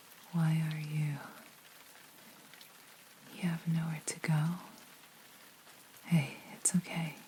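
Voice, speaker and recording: A woman's very deep, low voice against noticeable background noise. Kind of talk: ASMR roleplay. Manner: caring, comforting.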